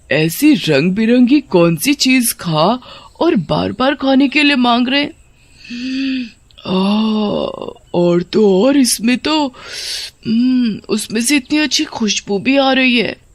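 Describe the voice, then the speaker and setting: A man performs a cartoonish character voice, high in pitch. He goes at a very slow pace, with long, frequent pauses. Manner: greedy, scheming.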